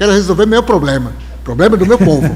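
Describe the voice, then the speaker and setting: A man is speaking. Music plays in the background. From Brazil, Alto Rio Negro, Amazonas. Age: 70s. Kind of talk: live interview conversation. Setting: live stream with audience.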